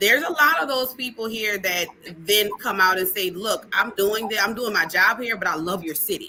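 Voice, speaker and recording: Against noticeable background noise, a woman with a strong New Orleans accent talks at a moderate pace and medium pitch, her tone animated and her intonation lively. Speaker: conference organizer. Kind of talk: casual livestream chat. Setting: online livestream.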